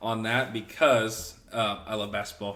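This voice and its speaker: In a room with audible echo, a man speaks at a medium pitch with a bright, sharp tone and a slight Southern US accent. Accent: slight Southern picked up. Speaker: podcast co-host. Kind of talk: casual chat.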